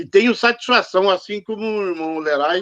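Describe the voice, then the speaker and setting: A man's high-pitched voice, with ordinary pitch variation, sounds dry and close with no echo. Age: 70s. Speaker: freemason commenting after a lecture. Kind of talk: audience comment after lecture. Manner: halting; slow.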